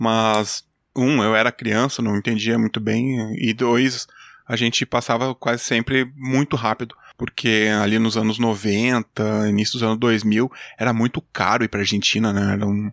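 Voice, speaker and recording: A man of medium pitch with a southern Brazilian accent, fairly slow and monotone, flat in intonation, at very even loudness, in a very clean recording with a silent background and a dry, close sound with no echo. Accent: gaúcho accent, noticeable. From Brazil, Rio Grande do Sul (Júlio de Castilhos). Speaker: engineer and podcaster. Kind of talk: casual interview chat.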